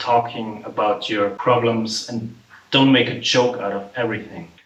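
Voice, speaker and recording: At a moderate pace, a man of medium pitch speaks with an Austrian accent and fairly even intonation, over noticeable background noise. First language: German. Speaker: vlogger and musician. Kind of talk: casual vlog monologue. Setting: home apartment. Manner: casual, filler-heavy, swearing-laced.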